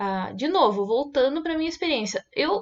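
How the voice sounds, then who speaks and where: Against a quiet background, a woman with a high pitch speaks at a fairly slow pace, her voice swinging very widely in pitch. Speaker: online course teacher. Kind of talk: casual vlog monologue. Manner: many filler sounds.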